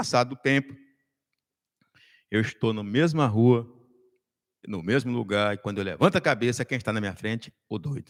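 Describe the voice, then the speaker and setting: A man at medium pitch, moderate pace with long, frequent pauses, ordinary pitch variation, and a dry, close sound with no echo. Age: 60s. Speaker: political commentator. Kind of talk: casual chat.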